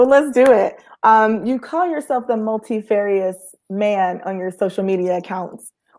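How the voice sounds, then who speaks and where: In a very clean recording with a silent background, a woman with an American accent talks at a moderate pace, hardly pausing at all. She has a plain, everyday voice, fairly high in pitch, with lively intonation. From Georgia, US South. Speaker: podcast host. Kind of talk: casual interview.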